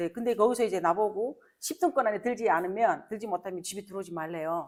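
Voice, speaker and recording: A woman at medium pitch talks at a very fast pace with lively intonation. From North Korea. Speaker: North Korean defector sharing life story. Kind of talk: interview conversation before an audience.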